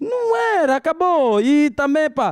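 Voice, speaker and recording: With an Angolan accent, a man speaks using very wide pitch swings. The background is quiet. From Luanda, Angola (Cazenga). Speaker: stand-up comedian. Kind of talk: stand-up comedy. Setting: stage with live audience. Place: stage. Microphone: handheld.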